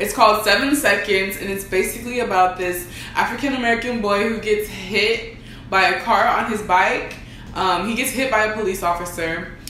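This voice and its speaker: Light background noise and audible room echo surround a woman speaking at a moderate pace. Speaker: co-host. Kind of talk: casual vlog chat. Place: home room.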